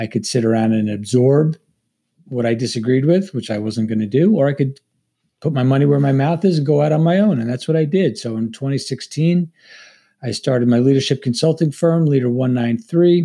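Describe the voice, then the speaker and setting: A man with an American accent talks fairly quickly at a fairly high pitch with ordinary pitch variation. He has an ordinary speaking voice. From Long Island, New York. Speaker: former Navy SEAL and FBI agent, leadership author. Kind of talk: interview conversation.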